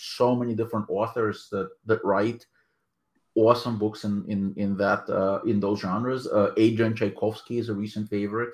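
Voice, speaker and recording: A man with a Russian accent speaks at a moderate pace in a fairly low, flat monotone. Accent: Russian-type accent in English. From Soviet Union, emigrated to US at 13-14. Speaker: author and anthology editor. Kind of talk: interview. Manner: hesitant, many fillers.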